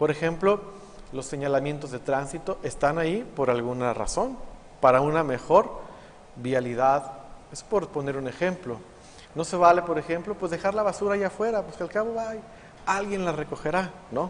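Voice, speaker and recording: Amid noticeable background noise, a man with a Mexican accent and a high pitch speaks at a moderate pace with lively intonation. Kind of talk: homily.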